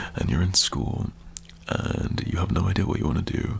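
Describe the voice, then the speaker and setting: A man's relaxed tone, edged with vocal fry. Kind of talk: motivational talk to camera, asmr. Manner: relaxed, reassuring, conversational.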